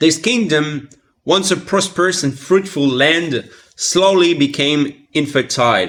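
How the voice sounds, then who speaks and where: A man speaks with a French accent at a fairly high pitch. His pitch varies in an ordinary way. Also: fairly slow pace. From France. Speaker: content creator. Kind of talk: reading aloud.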